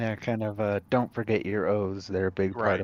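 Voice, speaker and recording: A man does a put-on character voice at a fairly low pitch. His intonation stays monotone and flat at a moderate pace. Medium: actual play.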